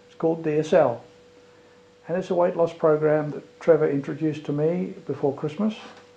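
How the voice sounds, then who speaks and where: Noticeable background noise sits under a man's voice at fairly high pitch with ordinary pitch variation. He speaks at a fairly quick pace, with big swings in loudness. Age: 60s. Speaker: retired airline pilot giving a testimonial. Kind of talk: testimony.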